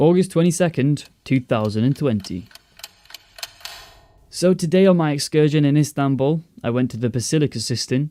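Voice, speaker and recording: A fairly high-pitched man's voice at a moderate pace, with ordinary pitch variation and long, frequent pauses. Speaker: travel vlogger narrating his trip.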